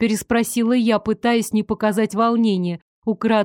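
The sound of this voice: Over a quiet background, the reading voice sounds unforced.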